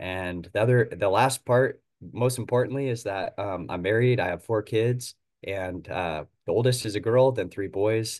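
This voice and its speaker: A man with a Pacific Northwest accent speaks at a moderate pace and medium pitch, with ordinary pitch variation. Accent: general American, Pacific Northwest. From US Pacific Northwest (Oregon). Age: 30s. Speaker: utility worker and hunter. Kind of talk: casual interview chat.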